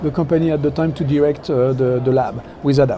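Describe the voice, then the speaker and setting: With a French accent, a man talks at a fairly quick pace with ordinary pitch variation, and background noise is noticeable. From France. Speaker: technology executive. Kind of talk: interview. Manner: hesitant, many fillers.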